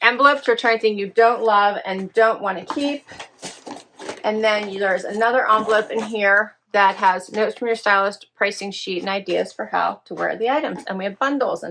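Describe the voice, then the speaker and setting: Using a put-on character voice, a woman speaks at a fairly quick pace, raspy and fairly high-pitched, with fairly even intonation. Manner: fast-talking.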